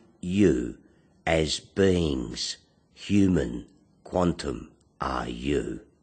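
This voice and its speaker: Very deep and low with vocal fry, a man talks at a very slow pace with lively intonation and long, frequent pauses. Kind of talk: spoken word poetry / philosophical monologue.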